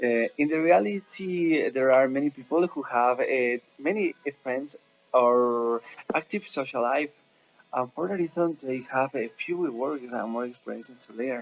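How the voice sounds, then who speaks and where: A man's medium-pitched voice with a Spanish accent, at a moderate pace, with ordinary pitch variation and long, frequent pauses. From Ecuador, Quito. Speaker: language student. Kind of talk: class assignment presentation. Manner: halting, many fillers.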